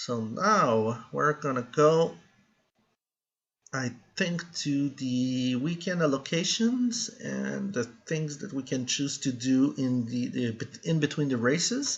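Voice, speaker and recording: Speaking very slowly in a Quebec accent, a man has a somewhat breathy voice pitched fairly high. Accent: French Canadian accent in English. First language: French. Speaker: gaming YouTuber. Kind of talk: gameplay commentary. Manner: halting, frequent fillers and restarts.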